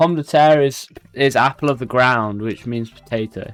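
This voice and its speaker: An animated tone in a British accent. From Britain. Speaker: video game streamer. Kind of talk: live stream commentary. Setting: live stream. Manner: casual, animated.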